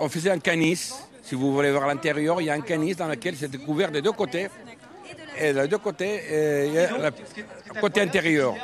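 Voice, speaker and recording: Crowd noise fills the background as a man speaks at a moderate pace with long, frequent pauses. His fairly high pitch shows ordinary pitch variation. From Ebro delta, Catalonia, Spain. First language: Catalan or Spanish (speaking French). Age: 70s. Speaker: traditional boatman and craftsman. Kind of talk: interview.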